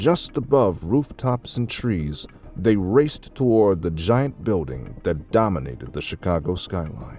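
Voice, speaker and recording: A man talks at a very slow pace with very wide pitch swings. Music plays in the background. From Texas. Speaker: audiobook narrator. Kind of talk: audiobook story narration.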